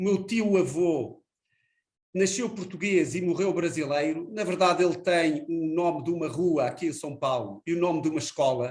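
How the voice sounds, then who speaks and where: Speaking at a moderate pace, the man has a high pitch and ordinary pitch variation. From Portugal. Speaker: energy company executive. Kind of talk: interview. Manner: frequent filler hesitations.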